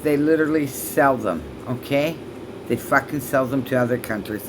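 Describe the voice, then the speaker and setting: Moderate-paced female speech against noticeable background noise. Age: 60s. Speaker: vlogger. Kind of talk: angry rant vlog. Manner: halting.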